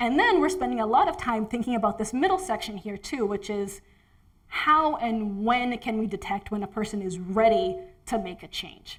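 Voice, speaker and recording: A woman's voice sits at a fairly high pitch and sounds somewhat breathy. Her intonation is lively. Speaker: research scientist. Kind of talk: presentation talk. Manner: fast.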